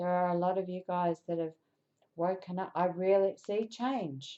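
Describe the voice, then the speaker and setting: At a fairly slow pace, a woman speaks with a dark, mellow tone and a medium pitch. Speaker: tarot reader. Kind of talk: tarot reading. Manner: halting, self-correcting.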